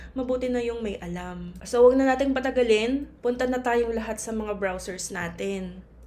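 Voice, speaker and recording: Amid audible room echo, a woman with a fairly high voice talks at a moderate pace with fairly even intonation. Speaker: pharmacist and tutorial channel host. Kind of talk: tutorial. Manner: casual, polite.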